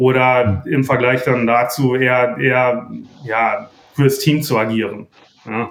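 Using fairly even intonation, a man talks at a very slow pace and medium pitch. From Germany, Sauerland. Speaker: mental performance coach. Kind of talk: interview.

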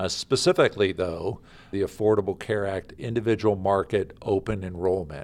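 A man with an American accent has an unremarkable speaking voice. He talks at a moderate pace with a fairly low pitch and fairly even intonation. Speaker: state insurance official. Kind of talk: interview. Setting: office. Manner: formal.

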